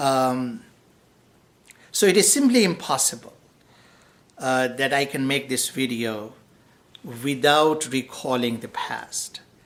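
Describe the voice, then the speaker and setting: Very slow, non-native accented speech with long, frequent pauses. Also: man, medium pitch for a man, ordinary pitch variation. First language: not English. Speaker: professor. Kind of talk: lecture. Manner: unscripted, with frequent fillers.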